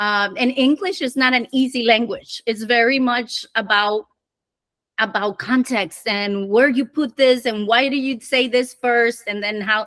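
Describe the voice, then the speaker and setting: A woman with a Spanish accent at a moderate pace, in a dry, close sound with no echo. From Dominican Republic. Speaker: conversion optimization director. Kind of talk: podcast interview. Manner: halting.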